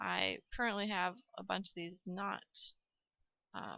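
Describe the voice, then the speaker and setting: A soft-spoken woman at a moderate pace, in a dry, close sound with no echo. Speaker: gaming youtuber. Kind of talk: gameplay commentary. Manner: halting.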